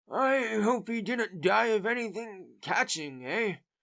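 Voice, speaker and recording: A man does a put-on character voice at a high pitch. His intonation is lively and his pace fairly slow. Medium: read story. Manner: haggling, grumbling.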